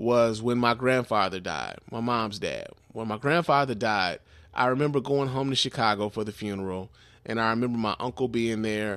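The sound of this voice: A man at medium pitch with a clear, smooth, fairly bright tone, lively intonation and moderate pace, in a very clean recording over a silent background.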